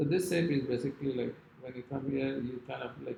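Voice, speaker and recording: The delivery has lively intonation and vocal fry. It moves at a moderate pace. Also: man. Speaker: calligraphy teacher. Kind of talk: tutorial.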